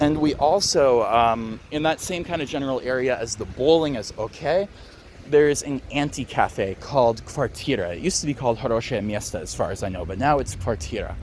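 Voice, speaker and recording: Noticeable background noise runs under a man speaking with an American accent at a medium pitch. His pace is fairly quick and his intonation lively. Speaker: travel vlogger. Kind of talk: casual walking tour commentary. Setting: outdoors, walking through a city. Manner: casual, with many fillers.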